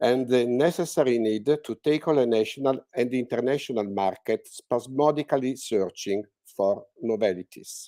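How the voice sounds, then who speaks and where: A man with an Italian accent, a dark, mellow tone and medium pitch, ordinary pitch variation and a fairly slow pace, in a very clean, dry, close recording with no echo and a silent background. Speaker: art historian speaker. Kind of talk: reading aloud. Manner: halting.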